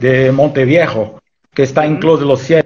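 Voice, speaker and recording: A man is talking at a moderate pace. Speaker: wine journalist interviewer. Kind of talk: interview. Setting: video call. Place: home room. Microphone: video call.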